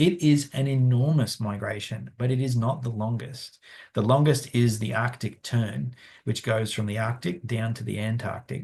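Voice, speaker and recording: Over a quiet background, a man with an Australian accent speaks at a moderate pace in a medium pitch, somewhat breathy, with ordinary pitch variation. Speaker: conservation scientist. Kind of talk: webinar Q&A. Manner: halting, many fillers.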